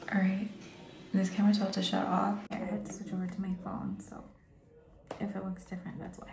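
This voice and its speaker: Against noticeable background noise and audible room echo, a woman speaks quietly at a medium pitch in a calm tone. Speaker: beauty vlogger. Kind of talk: makeup tutorial chat. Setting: bathroom at home. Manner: calm, quiet.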